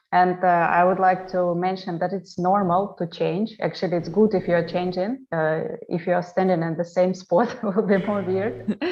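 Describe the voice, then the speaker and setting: With a Russian accent, the speaker keeps a moderate pace with hardly any pauses and fairly even intonation. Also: woman, medium pitch for a woman. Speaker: travel vlogger and interior designer. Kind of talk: online panel interview. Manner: halting.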